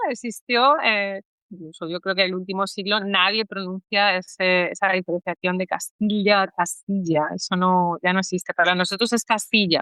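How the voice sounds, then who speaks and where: A woman talks with hardly any pauses at a moderate pace. Her pitch is medium. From Spain, Salamanca (Castile). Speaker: language education adviser, Spanish teacher. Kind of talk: podcast interview. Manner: hesitant, many fillers.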